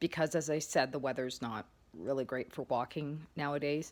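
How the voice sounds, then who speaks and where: A woman talks at a moderate pace with ordinary pitch variation in a very clean recording with a silent background. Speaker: vlogger sharing health recovery. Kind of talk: casual vlog update. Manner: hesitant, occasional word-finding stumbles.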